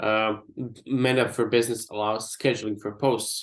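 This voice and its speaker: Against a quiet background, a man talks in a plain, everyday voice at a medium pitch. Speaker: digital marketing trainer. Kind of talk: online workshop presentation.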